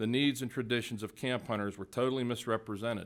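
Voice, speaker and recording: In an American accent, a man talks with an ordinary speaking voice at a medium pitch. His pace is fairly quick and his intonation fairly even. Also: very clean recording, silent background. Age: 60s. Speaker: hunting advocate testifying at hearing. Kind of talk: prepared testimony. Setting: public hearing. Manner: formal.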